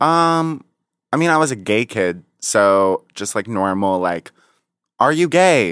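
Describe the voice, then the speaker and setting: A man speaks at a very slow pace with very wide pitch swings. The sound is dry and close with no echo, on a very clean recording with a silent background. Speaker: comedic YouTuber. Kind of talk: casual chat.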